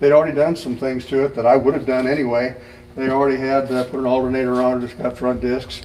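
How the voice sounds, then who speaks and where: Noticeable background noise behind a man's monotone, flat intonation. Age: 70s. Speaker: retired anesthesiologist and car owner. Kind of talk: casual interview in a car shop. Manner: hesitant with frequent fillers.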